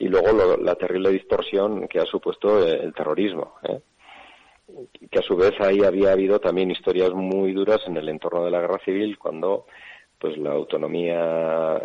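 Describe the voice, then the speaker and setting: A man with a Basque accent at a moderate pace. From Navarre, Basque-speaking area, Spain. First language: Basque (speaking Spanish). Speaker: bishop. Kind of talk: radio interview.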